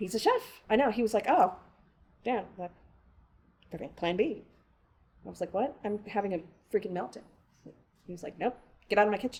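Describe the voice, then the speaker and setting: Her loudness swinging widely, a woman speaks fairly quickly at a medium pitch with ordinary pitch variation and long, frequent pauses. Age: 50s. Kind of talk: interview answer.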